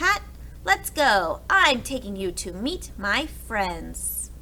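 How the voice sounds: A put-on character voice, slow, with big pitch swings and a bright, sharp tone. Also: woman, fairly high pitch for a woman.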